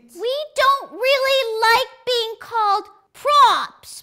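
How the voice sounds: An extremely high, put-on character voice delivers its lines at a very slow pace.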